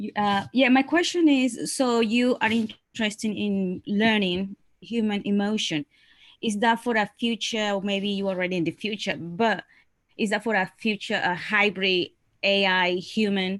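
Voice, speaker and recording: A woman with a non-native accent speaks at a fairly slow pace and a medium pitch, with ordinary pitch variation. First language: not English. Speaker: webinar participant asking a question. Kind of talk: Q&A in a webinar. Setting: online webinar. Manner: halting, many fillers.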